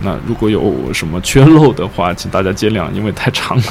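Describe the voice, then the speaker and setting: A man rattles along at a very fast pace, his pitch swinging very widely, while noticeable background noise runs underneath. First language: Chinese. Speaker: podcast host and interpreter. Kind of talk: interview interpretation and casual chat.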